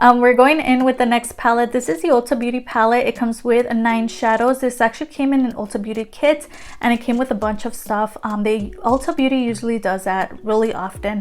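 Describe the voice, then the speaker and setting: Fairly quick speech with hardly any pauses and ordinary pitch variation, against noticeable background noise. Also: woman, high pitch for a woman. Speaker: beauty youtuber. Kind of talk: product review. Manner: fast; casual, many fillers.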